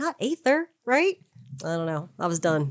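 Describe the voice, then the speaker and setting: A woman's voice swings very widely in pitch. The sound is dry and close, with no echo. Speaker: tabletop role-playing podcast co-host. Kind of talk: casual chat.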